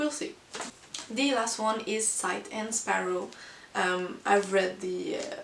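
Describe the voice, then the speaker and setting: A woman with a non-native accent speaks at a very slow pace, leaving long, frequent pauses. Audible room echo and noticeable background noise fill the recording. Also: fairly high pitch for a woman, lively intonation. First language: not English. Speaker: book vlogger. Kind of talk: casual monthly book review. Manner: hesitant, many fillers.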